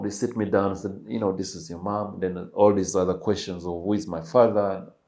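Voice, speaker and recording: With audible room echo, a man with a Ugandan accent speaks in a fairly low pitch and a dark, mellow tone. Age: 30s. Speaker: podcast guest sharing life story. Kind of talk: interview testimony.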